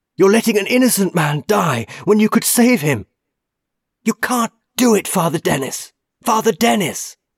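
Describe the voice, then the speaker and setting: A man performs a put-on character voice that is shrill, high-pitched, raised and projected. His intonation is lively and his pace moderate. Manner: shrieking, desperate.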